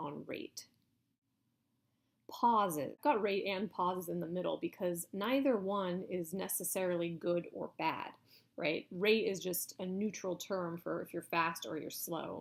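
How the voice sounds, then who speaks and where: A woman with a plain, everyday voice, medium in pitch, with ordinary pitch variation at a moderate pace. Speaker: university lecturer. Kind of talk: lecture. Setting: recorded video lecture.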